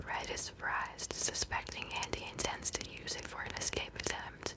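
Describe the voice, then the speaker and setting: Someone whispers at a fairly slow pace. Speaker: ASMR podcast host. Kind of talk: soft-spoken ASMR bedtime podcast commentary. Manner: soft-spoken, whispery, calming.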